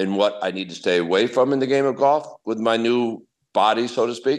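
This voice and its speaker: A man speaks at a moderate pace with an American accent, in an ordinary speaking voice with fairly low pitch. His pitch varies in an ordinary way, and the background is quiet. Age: 60s. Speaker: professional golfer. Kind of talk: interview answer.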